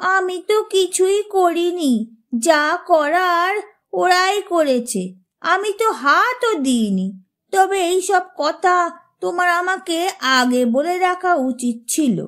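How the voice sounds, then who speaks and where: A woman puts on a cartoonish character voice at an extremely high pitch. She goes at a very slow pace with lively intonation. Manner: innocent, sweetly naive.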